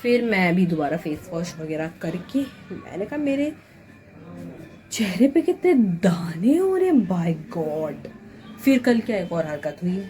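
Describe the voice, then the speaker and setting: Music plays in the background as a woman talks at a very slow pace. Her medium pitch makes very wide swings. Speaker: vlogger and hospital night-shift worker. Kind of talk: casual vlog chat.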